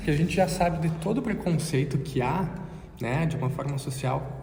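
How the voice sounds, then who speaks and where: With noticeable background noise and audible room echo, a man talks in a fairly high voice with ordinary pitch variation. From Brazil. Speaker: podcast co-host. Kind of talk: casual conversation.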